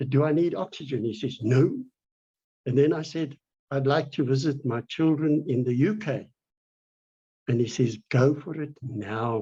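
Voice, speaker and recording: A man's somewhat breathy, dark, mellow tone at a fairly high pitch, with a fairly slow pace and long, frequent pauses. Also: ordinary pitch variation. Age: 70s. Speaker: patient with lung disease. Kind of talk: interview. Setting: video call.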